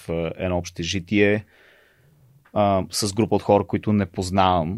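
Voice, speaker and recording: In a very clean recording with a silent background and a dry, close sound with no echo, a man speaks at a moderate pace with a very deep, low pitch and ordinary pitch variation. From Bulgaria. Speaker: education nonprofit executive director. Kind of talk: casual interview.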